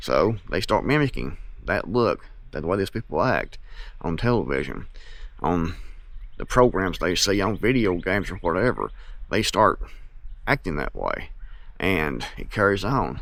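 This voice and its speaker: In a very clean recording with a silent background, a man with an Appalachian accent speaks at a moderate pace in a fairly low pitch with vocal fry, very wide pitch swings, and long, frequent pauses. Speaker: YouTuber and author on self-reliance. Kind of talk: casual monologue to camera.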